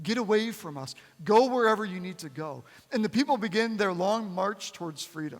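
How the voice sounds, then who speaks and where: A man with an American accent, high-pitched and fairly quick, with lively intonation and big swings in loudness. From United States. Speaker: pastor. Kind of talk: sermon.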